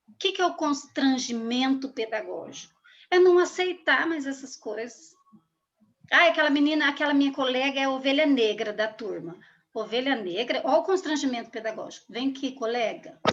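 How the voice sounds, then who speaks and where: A woman's voice rises and falls in a lively way, pitched high and delivered at a moderate pace. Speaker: school supervisor speaking on race. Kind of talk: talk to school students.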